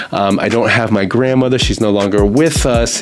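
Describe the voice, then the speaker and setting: Noticeable background noise runs under a man talking with an American accent. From US. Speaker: recruiter and podcast host. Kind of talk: podcast monologue. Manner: casual, conversational.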